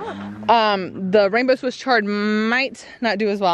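A woman speaks with ordinary pitch variation. The sound is dry with no echo, and light background noise is present. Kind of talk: casual garden tour vlog. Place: garden. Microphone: phone near.

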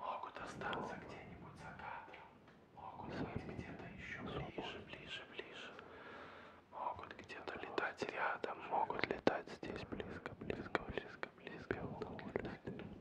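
Someone talks at a very slow pace over loud background noise. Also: man. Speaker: ASMR creator. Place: home room. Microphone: studio mic.

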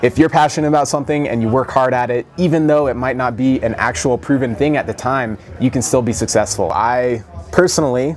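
A man speaks at a very fast pace with ordinary pitch variation. Light background noise can be heard. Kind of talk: interview answer. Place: gym.

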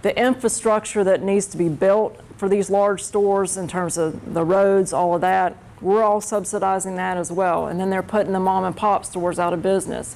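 A woman with an American accent talks at a moderate pace with medium pitch and fairly even intonation. She has an unremarkable speaking voice, with light background noise behind her. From North Carolina. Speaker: labor union representative. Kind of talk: classroom Q&A. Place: classroom.

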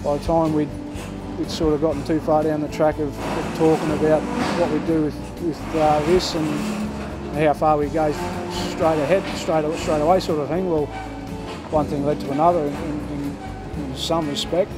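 With loud music in the background, a man speaks with long, frequent pauses. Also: moderate pace. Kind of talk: interview answer. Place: farm machine.

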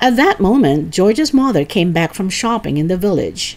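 The intonation rises and falls in a lively way. It is a natural reading voice throughout.

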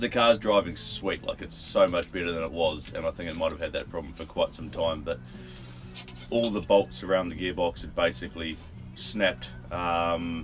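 Clear music plays in the background. A man speaks with a very deep, low pitch. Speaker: travel vlogger. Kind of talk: casual vlog chat. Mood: relieved, upbeat. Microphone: camera far.

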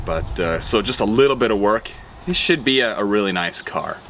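Noticeable background noise sits behind a man who speaks at a moderate pace with a fairly low pitch. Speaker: vlogger. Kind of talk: casual vlog chat. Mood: upbeat, relaxed. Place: open country.

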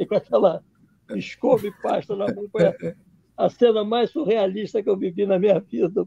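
A man with a Rio de Janeiro accent speaks at a high pitch in a dark, mellow tone, at a moderate pace with ordinary pitch variation and long, frequent pauses. The background is quiet and the sound is dry, with no echo. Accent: Rio de Janeiro Brazilian Portuguese (carioca). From Brazil, Rio de Janeiro. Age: 70s. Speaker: documentary filmmaker; interview guest. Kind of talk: interview on a livestream. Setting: video call. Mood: warm, amused storytelling. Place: home room. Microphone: webcam.

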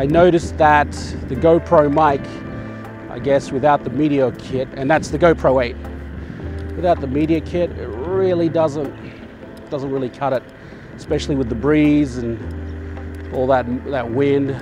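The sound is dry with no echo, the pace is moderate with long, frequent pauses, and music plays in the background. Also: man. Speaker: scooter commuter vlogger. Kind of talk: casual vlog chat. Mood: relaxed, playful. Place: street. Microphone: lapel.

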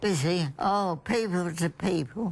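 A woman with an Australian accent talks at a medium pitch with ordinary pitch variation. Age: 80s+. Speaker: elderly holidaymaker. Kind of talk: interview answer. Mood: cheerful, reminiscing. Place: home room.

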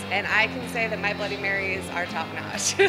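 Clear music plays in the background as a woman speaks at a fairly quick pace. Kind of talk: interview answer. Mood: cheerful, smiling. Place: bar.

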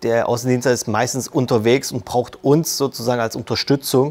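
Her is not right; a man is talking. The intonation stays fairly even. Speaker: sales support employee. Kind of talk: corporate interview. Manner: casual with filler words. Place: hall. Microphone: lapel.

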